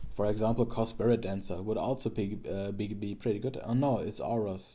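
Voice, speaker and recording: A man speaks with a fairly low pitch. His tone is dark and mellow. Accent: German. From Germany. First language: German. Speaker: streamer and card game content creator. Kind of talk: casual gameplay commentary. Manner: halting, many fillers and restarts.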